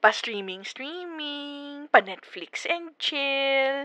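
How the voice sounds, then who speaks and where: A bright, sharp voice moves at a very slow pace with very wide pitch swings. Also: woman. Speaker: ASMR roleplay performer. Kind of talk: ASMR girlfriend roleplay. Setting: phone call. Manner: soft-spoken, gentle.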